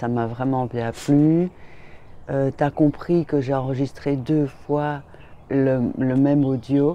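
In a dry recording with no echo, a woman speaks very slowly in a very deep, low voice of dark, mellow tone with fairly even intonation. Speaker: vlogger. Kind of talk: casual talk to camera. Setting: outdoors, in a garden. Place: garden. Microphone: phone near.

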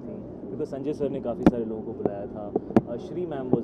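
Over loud background noise, a man speaks at a moderate pace with ordinary pitch variation. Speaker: film actor. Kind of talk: press interview answer. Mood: pleased, relieved. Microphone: handheld.

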